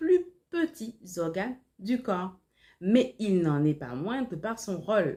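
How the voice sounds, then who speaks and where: At a very slow pace, a woman speaks at medium pitch, her dark, mellow tone somewhat breathy. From Martinique. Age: 30s. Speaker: life and organization coach. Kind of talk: tutorial.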